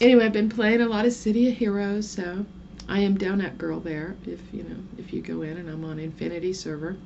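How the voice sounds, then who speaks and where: Over noticeable background noise and audible room echo, a woman speaks at a fairly quick pace. Her medium-pitched voice has big swings in loudness. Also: ordinary pitch variation. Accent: American. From southern Oklahoma. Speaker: vlogger. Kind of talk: casual vlog monologue. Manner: rambling, chatty.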